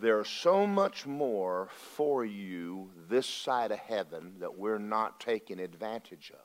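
Speaking at a very slow pace in a Southern US accent, a man keeps a fairly low pitch with ordinary pitch variation. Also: big swings in loudness. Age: 60s. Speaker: pastor. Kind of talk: sermon. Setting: church. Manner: animated.

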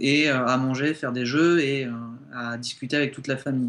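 A man keeps fairly even intonation at medium pitch. Noticeable noise sits in the background. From southern France, Montpellier. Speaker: guest. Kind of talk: radio interview.

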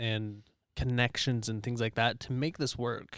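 With an American accent and fairly even intonation, the voice comes through dry and close with no echo in a very clean recording over a silent background. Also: man. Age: 30s. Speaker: business coach. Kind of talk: casual chat. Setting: video recording.

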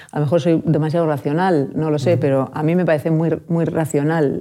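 A woman speaks in a very deep, low voice. Her tone is dark and mellow, and her intonation fairly even. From Alicante, Spain. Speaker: school psychologist. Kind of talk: interview.

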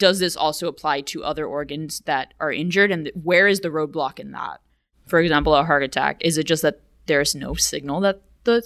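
On a very clean recording with a silent background, a woman with an American accent talks at a fairly quick pace at a fairly low pitch in an unremarkable speaking voice. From US South, McAllen, Texas border. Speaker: graduate student. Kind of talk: interview.

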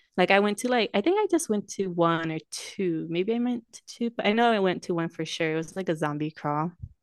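Using a plain, everyday voice, a woman talks at a fairly quick pace with hardly any pauses, a medium pitch and ordinary pitch variation, in a dry, close sound with no echo. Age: 20s. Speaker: podcast co-host. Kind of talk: casual chat. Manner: laughs often, chatty.

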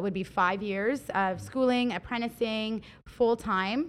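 A woman has a normal speaking voice with a fairly high pitch and ordinary pitch variation. The background is quiet. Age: 20s. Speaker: hair stylist and salon owner. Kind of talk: casual podcast interview.

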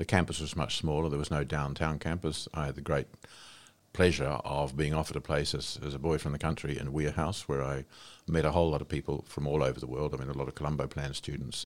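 This man talks at a very fast pace in a very deep, low pitch, with vocal fry and a monotone, flat intonation. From New Zealand, Wairarapa. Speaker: retired senior public servant and diplomat. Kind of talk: interview.

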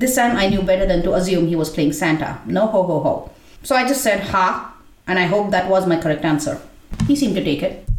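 With noticeable background noise behind her, a woman speaks fairly quickly at medium pitch, her intonation lively and her loudness very even. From India. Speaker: essay writer and performer. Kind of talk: reading aloud a personal essay.

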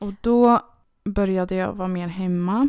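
Fairly even in intonation and medium in pitch, a woman's voice comes through a very clean recording against a silent background. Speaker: podcast co-host. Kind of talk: casual chat.

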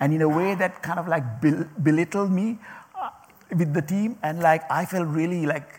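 A man with a non-native accent, high pitch and ordinary pitch variation, at a moderate pace. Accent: non-native accent, mocked by former manager. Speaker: speaker addressing a group. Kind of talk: talk to an audience. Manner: halting, many repetitions and fillers.

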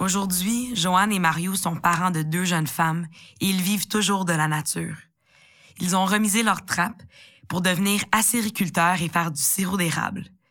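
In a very clean recording with a silent background, a woman's bright, sharp tone moves at a moderate pace with fairly even intonation. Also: medium pitch for a woman. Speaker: podcast host. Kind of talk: scripted narration.

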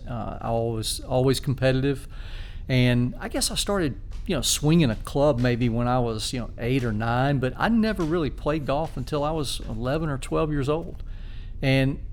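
Audible room echo surrounds a man speaking with a Southern US accent at a moderate pace. His pitch is medium, with ordinary pitch variation. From South Carolina (Spartanburg). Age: 50s. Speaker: amateur golfer and high school teacher. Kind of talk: casual interview.

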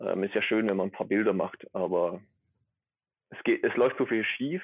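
This man talks with a slight Swabian accent. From Swabia, near Stuttgart. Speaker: atmospheric chemist. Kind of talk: casual interview. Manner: hesitant, many fillers.

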